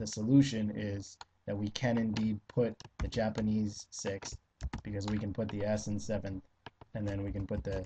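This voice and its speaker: Somewhat breathy, a man speaks at a fairly low pitch in a monotone, flat intonation at a moderate pace. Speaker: LSAT tutor. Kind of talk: tutorial. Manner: hesitant with fillers.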